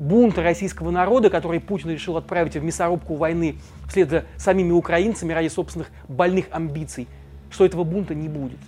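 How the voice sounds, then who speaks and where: With ordinary pitch variation, this man talks in a high voice. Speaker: journalist, video commentator. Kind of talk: scripted video commentary. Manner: emphatic.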